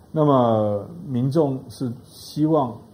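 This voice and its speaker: A man's somewhat breathy voice with a dark, mellow tone, very wide pitch swings and audible room echo. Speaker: professor of strategic studies. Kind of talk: panel discussion on talk show.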